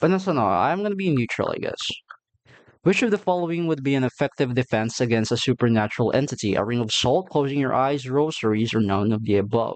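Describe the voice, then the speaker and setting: Speaking with a non-native accent, a man talks at a fairly quick pace in a fairly high pitch. His intonation is lively, and the background is quiet. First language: not English. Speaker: gaming youtuber. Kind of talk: let's play commentary. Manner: halting.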